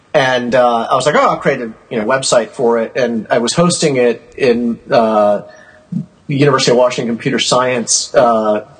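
A man uses an ordinary speaking voice at a moderate pace and medium pitch. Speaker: collector, archive founder. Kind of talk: casual chat. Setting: phone call.

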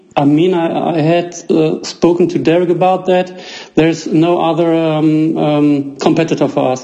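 A man's high-pitched, monotone voice with a German accent, flat intonation at a moderate pace, and noticeable background noise. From Germany. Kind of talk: casual interview. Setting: phone call.

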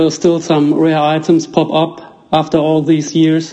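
Over noticeable background noise, a man with a German accent speaks at a very slow pace, his fairly high pitch held in monotone, flat intonation. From Germany. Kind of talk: casual interview. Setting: phone call.

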